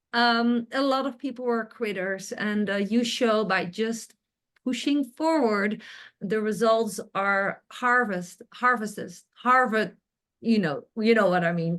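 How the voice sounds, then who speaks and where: Very slowly and with a non-native accent, a woman speaks at a fairly high pitch. Her pitch variation is ordinary, and the background is quiet. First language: not English. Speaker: interviewer, online business coach. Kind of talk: interview. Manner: animated.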